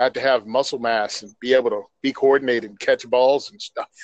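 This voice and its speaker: A man with an unremarkable speaking voice talks at a fairly quick pace in a medium pitch, with fairly even intonation, a dry, close sound with no echo, and a quiet background. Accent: American. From New Jersey. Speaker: podcast co-host, firearms advocate. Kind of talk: casual chat.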